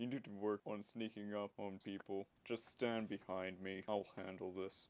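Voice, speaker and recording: Using a put-on character voice, a man talks in a monotone, flat intonation at a fairly low pitch and a moderate pace. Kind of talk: solemn fantasy speech. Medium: actual play. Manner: calm, formal.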